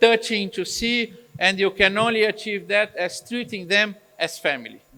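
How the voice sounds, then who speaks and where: A man's raised, projected voice, high in pitch with ordinary variation, at a fairly slow pace amid noticeable background noise. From Brazil. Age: 60s. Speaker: eye surgeon. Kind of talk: Q&A interview. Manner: halting.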